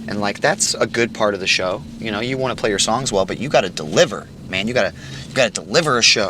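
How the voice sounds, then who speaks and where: A man with an American accent, very fast and lively in intonation, fairly low-pitched, over noticeable background noise. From southern Illinois. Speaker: musician. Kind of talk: casual chat.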